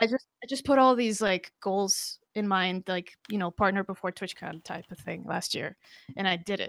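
A woman with a Spanish accent speaks at a moderate pace and medium pitch, with ordinary pitch variation. The recording is very clean and silent in the background, with a dry, close sound and no echo. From Costa Rica. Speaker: Twitch streamer and drummer. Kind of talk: casual interview. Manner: halting, many fillers.

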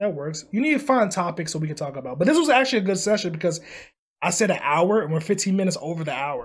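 This man speaks loudly and very fast, at a high pitch with lively intonation. The recording is very clean and the background silent. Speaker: podcast co-host and video creator. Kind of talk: casual chat. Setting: home recording at night. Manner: loud, energetic; held back to avoid waking housemates.

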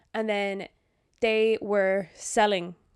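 The recording is very clean, with a silent background and a dry, close sound with no echo. A woman speaks with fairly even intonation. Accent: Irish. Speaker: podcast co-host. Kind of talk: casual chat. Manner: giggly.

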